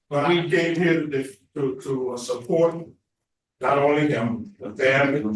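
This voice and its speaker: With a Louisiana accent, a man talks at a fairly slow pace in a fairly high pitch with ordinary pitch variation. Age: 70s. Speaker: pastor. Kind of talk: testimony. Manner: preachy, impassioned.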